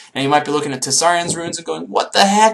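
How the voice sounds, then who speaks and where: Noticeable background noise sits behind a man's voice. His pitch is high and his intonation lively. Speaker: gaming youtuber. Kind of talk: tutorial. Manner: fast.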